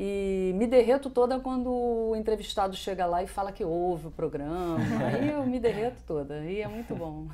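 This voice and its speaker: Noticeable background noise surrounds a woman speaking at a moderate pace. Her pitch is medium and her intonation lively. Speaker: radio announcer / host. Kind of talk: interview answer.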